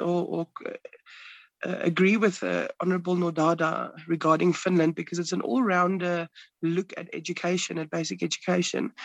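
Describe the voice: A man speaks at a moderate pace, his high pitch raspy and marked by vocal fry. The tone is fairly bright, and the sound is dry and close with no echo.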